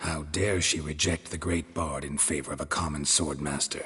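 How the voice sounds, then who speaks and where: A man does a put-on character voice, growling at a very deep, low pitch. He keeps a moderate pace and a deadpan tone. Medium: video game. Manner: deadpan, laconic.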